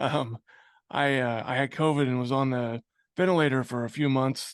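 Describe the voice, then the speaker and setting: This man has an American accent and a medium pitch, speaking at a moderate pace with fairly even intonation. The sound is dry and close with no echo, over a quiet background. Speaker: business owner. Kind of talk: interview. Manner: pauses to breathe; casual.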